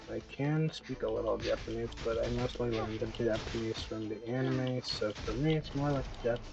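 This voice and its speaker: A man talks at a moderate pace with hardly any pauses while music plays in the background. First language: French. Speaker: gaming streamer. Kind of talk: casual live-stream commentary.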